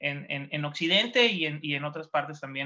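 Fairly quick speech from a man with a fairly high pitch. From Mexico, Baja California (Ensenada, Valle de Guadalupe). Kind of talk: casual chat. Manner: halting.

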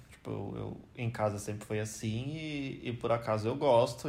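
In a room with audible echo, a man talks at a medium pitch and a fairly slow pace with fairly even intonation. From Brazil. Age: 20s. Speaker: biomedical scientist, host's boyfriend. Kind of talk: casual chat.

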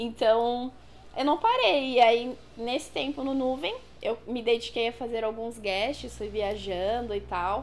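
Her voice is a plain, everyday voice, fairly high in pitch. The woman speaks at a fairly slow pace with fairly even intonation. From São Paulo ABC region, Brazil. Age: 20s. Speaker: body piercer. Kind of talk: casual interview.

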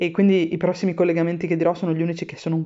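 Here is a woman speaking. Her pitch sits fairly low. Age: 30s. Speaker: podcaster. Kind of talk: personal audio diary.

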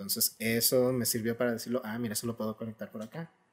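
A man talks at a fairly quick pace. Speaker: writer. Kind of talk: casual chat.

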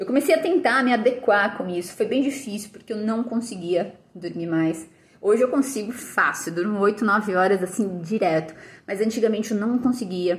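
This woman has a normal speaking voice pitched fairly high. Her intonation is lively. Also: moderate pace. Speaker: nutritionist and fitness educator. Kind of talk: casual vlog monologue.

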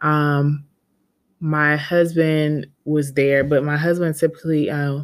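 A woman in an American accent, fairly low in pitch, flat and monotone at a fairly slow pace, on a very clean recording with a silent background. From US South. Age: 30s. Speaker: podcast host. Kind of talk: casual monologue. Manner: halting.

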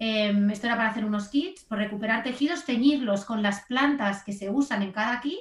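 A woman talks with a fairly high, somewhat breathy voice at a fairly quick pace, with ordinary pitch variation and hardly any pauses. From Spain, Barcelona. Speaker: graphic designer. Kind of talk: interview conversation.

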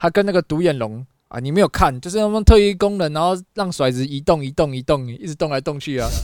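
In a Taiwanese accent, a man with a fairly high pitch talks at a very fast pace with lively intonation. The sound is dry and close with no echo, on a very clean recording with a silent background. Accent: Taiwanese Mandarin. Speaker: podcast co-host. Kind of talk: casual chat.

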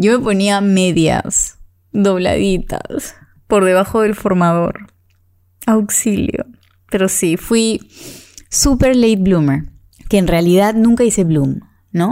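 Speaking very slowly with long, frequent pauses, a woman uses a dark, mellow tone and ordinary pitch variation. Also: medium pitch for a woman, very even loudness. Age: 30s. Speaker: podcast host. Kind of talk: solo monologue.

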